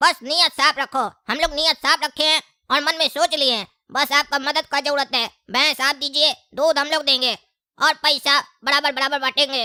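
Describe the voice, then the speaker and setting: A high-pitched, cartoonish character voice moves at a fairly quick pace. The recording is very clean, with a silent background. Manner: cheeky, talkative.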